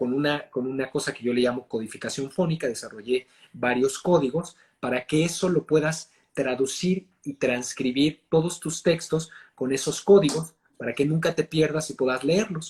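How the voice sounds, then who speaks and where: At a moderate pace, a man with a fairly high pitch speaks in a somewhat breathy voice with ordinary pitch variation. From Mexico. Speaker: actor and voice and accent coach. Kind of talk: interview answer.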